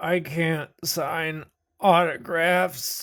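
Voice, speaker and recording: A put-on character voice at a middle pitch, very clean recording with a silent background. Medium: actual play. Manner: halting, nervous.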